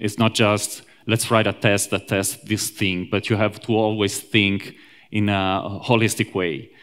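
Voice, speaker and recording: Recorded very cleanly against a silent background, a man with an Italian accent speaks at a fairly low pitch with fairly even intonation. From Italy, Rome. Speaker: software engineer, conference speaker. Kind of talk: conference talk. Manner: hesitant, many fillers.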